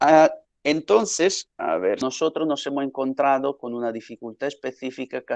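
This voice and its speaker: A man with an Italian accent, against a quiet background. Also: dry, close sound with no echo. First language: Italian (speaking Spanish). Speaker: academic researcher. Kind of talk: lecture. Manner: hesitant, many fillers.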